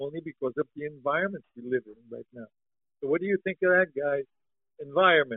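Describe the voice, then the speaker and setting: At a fairly quick pace, a man with an ordinary speaking voice and an American accent talks at fairly high pitch with ordinary pitch variation. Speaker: podcast co-host, song translator. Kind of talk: casual chat. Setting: online remote call.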